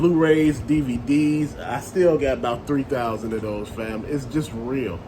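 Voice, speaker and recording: Pitched in the medium range with ordinary variation, a man speaks over noticeable background noise with audible room echo. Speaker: toy collector and vlogger. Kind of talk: casual monologue. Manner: loud; rambling, conversational.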